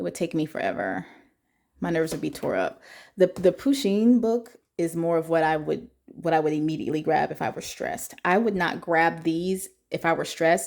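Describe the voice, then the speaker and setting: A woman speaks at a fairly low pitch and a moderate pace, her tone animated and her intonation lively. The recording is very clean, with a silent background. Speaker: YouTuber reviewing coloring books. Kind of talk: casual product flip-through.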